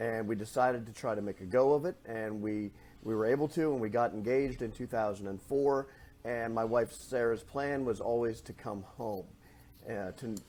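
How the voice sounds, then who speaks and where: With a northwest Pennsylvania accent, a man speaks at a medium pitch and a moderate pace, his tone dark and mellow, with ordinary pitch variation. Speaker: chamber of commerce president, former newspaper editor. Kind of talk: podcast interview.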